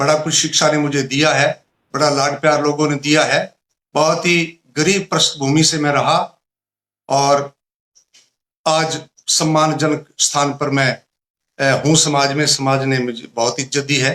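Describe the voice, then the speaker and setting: A man's fairly high voice with a bright, sharp tone, a monotone, flat intonation and very even loudness. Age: 60s. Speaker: retired teacher and poet. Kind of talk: interview.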